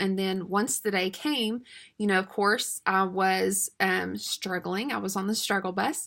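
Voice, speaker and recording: In a very clean recording with a silent background, a woman with a Southern US accent speaks at a fairly slow pace at a medium pitch, her tone bright and sharp. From US South, East Tennessee. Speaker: homeschool mom and supplement seller. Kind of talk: casual sales talk to camera. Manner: chatty, many filler words.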